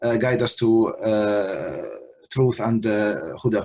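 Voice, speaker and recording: The speaker is a man. He talks in an Arabic accent. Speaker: Islamic lecturer. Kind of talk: lecture. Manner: halting, many fillers.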